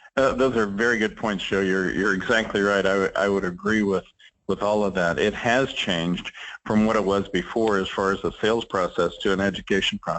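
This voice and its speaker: At a fairly quick pace, a man talks in an unremarkable speaking voice with a fairly low pitch and very even loudness. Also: fairly even intonation. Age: 60s. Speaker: trade association executive. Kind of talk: interview.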